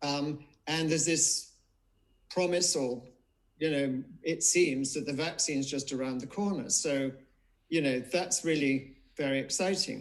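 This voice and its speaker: The pace is fairly slow, and the pitch varies in an ordinary way. It is a plain, everyday voice. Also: man, fairly high pitch for a man. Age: 60s. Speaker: memoir author. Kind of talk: live online book event interview.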